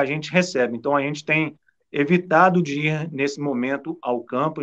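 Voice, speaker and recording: A man with an unremarkable speaking voice talks at a moderate pace, fairly high in pitch, with ordinary pitch variation. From Brazil, southern Minas Gerais (São Lourenço). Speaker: TV sports presenter. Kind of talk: casual chat.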